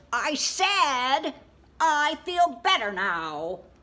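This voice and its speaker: Putting on a character voice, a woman pitches high and swings very widely up and down. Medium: read story.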